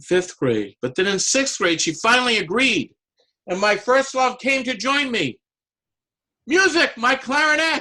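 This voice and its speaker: The voice is raised and projected, moving at a fairly slow pace with lively intonation. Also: man, extremely high pitch for a man. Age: 60s. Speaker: amateur public speaker and clarinetist. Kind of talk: prepared speech.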